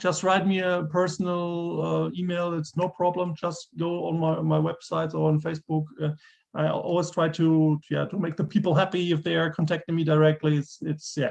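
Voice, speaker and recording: With a German accent, a man speaks at a high pitch in a monotone, flat intonation. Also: moderate pace. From Germany. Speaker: gamebook author. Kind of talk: interview. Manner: halting.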